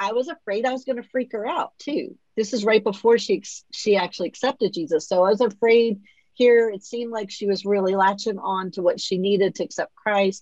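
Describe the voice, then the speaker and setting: A woman's fairly high-pitched voice, an ordinary speaking voice, at a fairly quick pace with ordinary pitch variation. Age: 50s. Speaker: podcast host and author. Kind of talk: interview, personal testimony.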